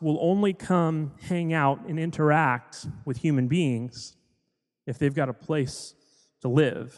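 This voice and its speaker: An ordinary speaking voice, a man with an American accent, fairly high pitch and ordinary pitch variation at a fairly slow pace over a quiet background. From US South, Florida (Hollywood). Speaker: pastor. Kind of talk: sermon.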